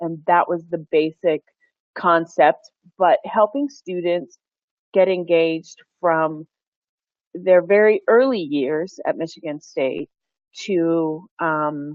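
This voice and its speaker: A woman with a Pennsylvania accent, speaking very slowly, with long, frequent pauses. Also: ordinary pitch variation. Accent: American, Pennsylvania. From Pennsylvania, US. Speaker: university engagement director. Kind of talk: webinar presentation.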